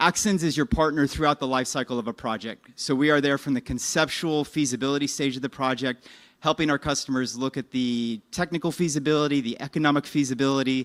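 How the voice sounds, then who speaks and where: Recorded very clean with a silent background and a dry, close sound with no echo, a man races along at a very fast pace with hardly any pauses, his fairly high voice keeping fairly even intonation. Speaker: business development presenter for a technology licensor. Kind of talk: conference presentation.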